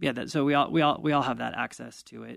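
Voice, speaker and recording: A man against a quiet background. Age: 40s. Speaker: fire department wellness manager and paramedic. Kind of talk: interview. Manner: halting, frequent repetitions.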